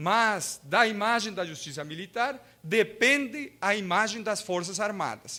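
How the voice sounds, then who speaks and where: Projecting his voice, a man with a high pitch and a bright, sharp tone speaks at a fairly slow pace with ordinary pitch variation. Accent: Spanish. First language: Spanish (speaking Portuguese). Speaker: law professor and lawyer. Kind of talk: lecture. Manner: halting, with hesitations.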